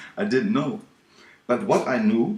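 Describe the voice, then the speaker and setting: Speaking with a German accent, a man moves at a moderate pace through very wide pitch swings. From Germany. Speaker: ministry video maker. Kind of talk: video message. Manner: halting.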